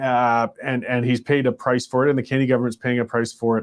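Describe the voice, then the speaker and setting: A man with a Canadian accent speaks at a very fast pace and medium pitch. His intonation stays monotone and flat. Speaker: political talk show host. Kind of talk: live commentary show; sponsor read. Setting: live stream show. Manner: halting, stuttering.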